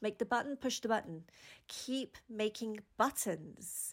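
A woman talks at a fairly slow pace with ordinary pitch variation. The recording is very clean, with a silent background. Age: 40s. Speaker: podcast host and mindset coach. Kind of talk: casual monologue.

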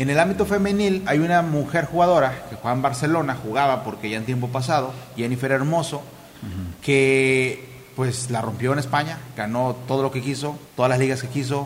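A man talks at a fairly quick pace in a medium pitch, with ordinary pitch variation. Noticeable background noise and audible room echo are in the recording. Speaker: football podcast host. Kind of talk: casual chat.

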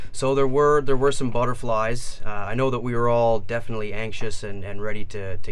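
Noticeable noise sits in the background. Over it, a man speaks fairly quickly with fairly even intonation. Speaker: officer cadet. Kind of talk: casual interview. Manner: halting.

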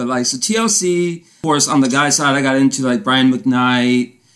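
Talking at a moderate pace, a man uses a fairly high pitch and ordinary pitch variation as noticeable background noise continues. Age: 30s. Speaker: podcast host. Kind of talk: casual interview. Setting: Instagram live.

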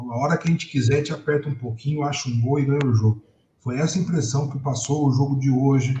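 The voice is somewhat breathy, with a dark, mellow tone. Its intonation stays fairly even. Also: man. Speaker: football podcast panelist. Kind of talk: casual chat.

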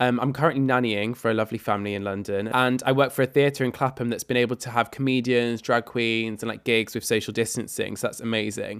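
Speech comes very fast with hardly any pauses. Its intonation is monotone and flat. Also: man, medium pitch for a man. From northern England, rural Cumbria. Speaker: podcast host and musical theatre performer. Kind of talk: casual chat.

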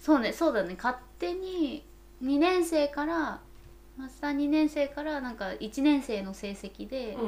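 Fairly slow speech from a woman, high in pitch, with lively intonation, big swings in loudness and noticeable background noise. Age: middle-aged. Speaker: podcast co-host, company employee in oral care. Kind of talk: casual chat.

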